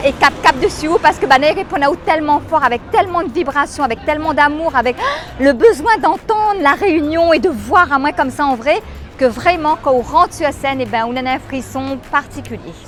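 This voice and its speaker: This woman has a high-pitched voice with ordinary pitch variation. She talks at a moderate pace while music plays in the background. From Réunion. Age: 50s. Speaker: comedian. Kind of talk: interview answer.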